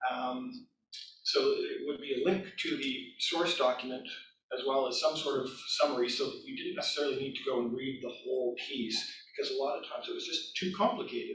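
A man speaks with a Canadian accent. His pace is fairly quick. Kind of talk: conference presentation. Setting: stage with audience.

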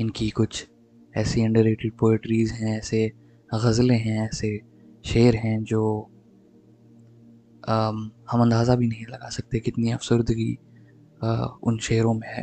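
Dark and mellow in tone, a man's medium-pitched voice stays flat and monotone, with a dry, close sound and no echo. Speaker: voice-over artist. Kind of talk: podcast introduction.

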